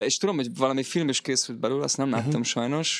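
Recorded very cleanly against a silent background, a man talks at medium pitch with ordinary pitch variation. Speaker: guitarist and songwriter. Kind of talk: casual interview.

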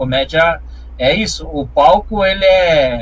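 Audible room echo and noticeable background noise surround a man's talking. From Curitiba metro area, Paraná, Brazil. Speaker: stand-up comedian. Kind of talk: casual interview chat.

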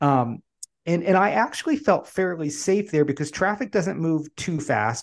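An American-accented man at a high pitch, with lively intonation and a moderate pace, over a quiet background. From Pennsylvania, Poconos. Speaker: coaching certification founder. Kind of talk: casual interview chat.

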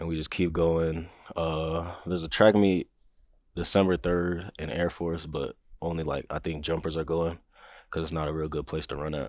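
With an American accent, a man talks at a moderate pace in a very deep, low voice. His intonation is flat and monotone, and the background is quiet. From New Mexico, raised on military bases (US, Germany). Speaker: college track athlete. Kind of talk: casual interview chat.

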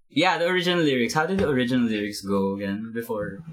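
Amid audible room echo, a man's pitch swings very widely. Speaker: band member, musician. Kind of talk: casual chat.

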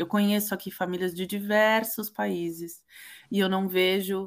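A woman with a São Paulo accent speaks at a medium pitch on a very clean recording with a silent background. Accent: Brazilian Portuguese, São Paulo coast. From Brazil, Santos (São Paulo coast). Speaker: children's book author. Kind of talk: interview.

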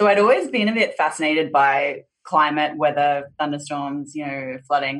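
Speaking with an Australian accent, a woman uses a very deep, low pitch and ordinary pitch variation at a moderate pace. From Australia, Southeast Queensland. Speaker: insurtech company CEO and co-founder. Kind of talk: interview.

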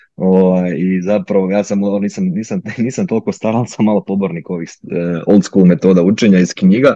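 Dark and mellow in tone, a man's fairly low voice holds a fairly even intonation. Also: moderate pace. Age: 20s. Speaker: orthopedic resident doctor. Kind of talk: interview. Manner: halting, many fillers.

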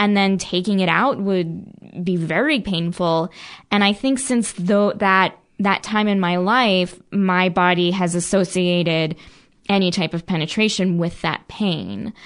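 Heard over a quiet background, a normal speaking voice with an American accent moves at a fairly slow pace, with very even loudness and ordinary pitch variation. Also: woman, medium pitch for a woman. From New Jersey, near Philadelphia. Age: 30s. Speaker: podcast guest. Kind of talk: personal testimony.

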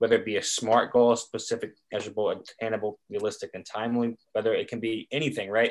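An ordinary speaking voice from a man with an American accent, medium pitch and moderate pace, on a very clean recording with a silent background. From North Carolina, Chapel Hill. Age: 20s. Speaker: podcast co-host, grad student. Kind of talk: casual chat.

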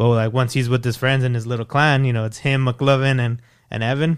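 The speaker has an American accent and talks at a fairly quick pace with monotone, flat intonation, on a very clean recording with a silent background. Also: man. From El Paso, Texas. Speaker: podcast guest. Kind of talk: casual chat.

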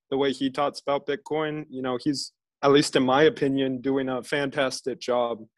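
An ordinary speaking voice with an American accent, at a moderate pace and with fairly even intonation, on a very clean recording with a silent background. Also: man. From USA. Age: 20s. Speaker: podcast host. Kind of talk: casual interview chat.

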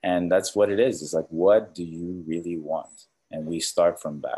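A man talks with a very deep, low pitch. His pace is moderate. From Canada. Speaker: mindset coach. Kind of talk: interview. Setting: remote call from Costa Rica.

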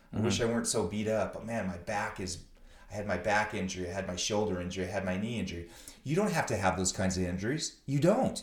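Very fast and somewhat breathy, a man speaks at a fairly low pitch in a room with audible echo. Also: ordinary pitch variation. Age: 50s. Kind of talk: casual interview chat. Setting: visiting host's academy.

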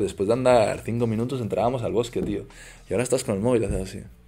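Speaking at a very fast pace, a man has a medium-pitched voice with a dark, mellow tone. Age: 20s. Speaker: influencer and entrepreneur. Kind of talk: casual chat. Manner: animated.

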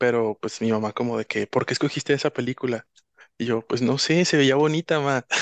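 A man with a plain, everyday voice, dry and close with no echo, ordinary pitch variation, a moderate pace and a quiet background. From Guadalajara, Mexico. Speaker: interview guest. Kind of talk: personal testimony.

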